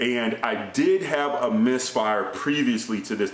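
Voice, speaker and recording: Noticeable background noise and audible room echo surround this recording. A man speaks with ordinary pitch variation. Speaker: gun channel vlogger. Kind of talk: casual vlog monologue. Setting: indoors. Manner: naturally loud, kept down here; filler-heavy conversational. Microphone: speaking softer to avoid echo.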